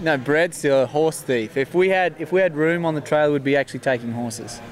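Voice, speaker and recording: A man races along at a very fast pace, his fairly high voice showing ordinary pitch variation. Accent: Australian. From Queensland, Australia. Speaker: horse trainer. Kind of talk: casual interview. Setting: horse expo event, Canada.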